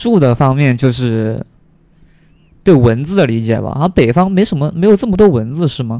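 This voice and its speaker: A man with a fairly high pitch and a dark, mellow tone talks at a fairly quick pace with lively intonation, broken by long, frequent pauses. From Guangdong, China. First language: Cantonese (speaking Chinese). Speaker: podcast guest. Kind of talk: casual chat. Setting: at home.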